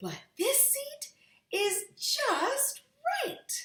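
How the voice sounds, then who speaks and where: The speaker uses a squeaky, put-on character voice. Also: woman, extremely high pitch for a woman. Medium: read story. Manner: picky, judging each thing in turn.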